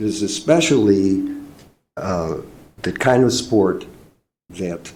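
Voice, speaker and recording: Somewhat breathy and fairly low-pitched, a man with an American accent speaks at a very slow pace with lively intonation amid audible room echo. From Chicago area. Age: 70s. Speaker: public commenter at park board meeting. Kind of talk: public comment. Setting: public meeting room. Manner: halting, many fillers.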